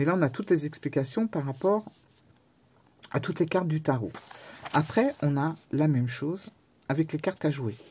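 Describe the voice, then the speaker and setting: A woman's very deep, low voice, somewhat breathy and dark and mellow in tone, with lively intonation and long, frequent pauses. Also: moderate pace. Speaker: tarot and oracle youtuber. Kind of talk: book review. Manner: halting.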